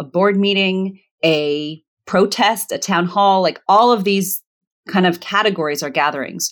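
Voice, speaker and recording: Speaking with an American accent, a woman with a plain, everyday voice at medium pitch and ordinary pitch variation talks at a fairly slow pace in a very clean recording with a silent background. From Virginia, US. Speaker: conflict resolution facilitator and author. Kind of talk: casual interview conversation.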